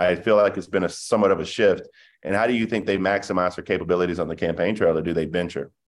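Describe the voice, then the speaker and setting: A man with an American accent talks at a very fast pace. His pitch is very deep and low. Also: quiet background. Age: 30s. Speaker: podcast host. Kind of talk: casual interview.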